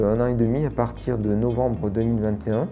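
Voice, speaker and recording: Over music in the background and audible room echo, a man speaks at a medium pitch and moderate pace with fairly even intonation. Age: 40s. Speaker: sheltered workshop worker. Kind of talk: testimony.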